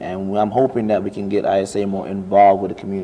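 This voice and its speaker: Speaking in a Jamaican accent, a man with a fairly low pitch talks at a fairly quick pace with fairly even intonation. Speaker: international student, student club officer. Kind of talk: interview. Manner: casual, conversational.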